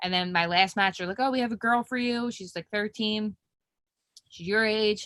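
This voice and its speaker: Bright and sharp in tone, a woman with a Philadelphia accent speaks at a fairly high pitch and a moderate pace, with fairly even intonation, in a dry, close sound with no echo on a very clean recording with a silent background. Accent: Philly. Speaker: professional mixed martial artist. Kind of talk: interview.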